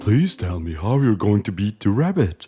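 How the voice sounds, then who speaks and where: A man's put-on character voice, fairly low in pitch at a moderate pace, with faint music in the background. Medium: audio drama. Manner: curious, wondering.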